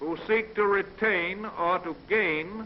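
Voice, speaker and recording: A man with an American accent and a high pitch. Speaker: US president giving a radio address. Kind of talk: fireside chat political address. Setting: vintage 1930s radio or newsreel recording.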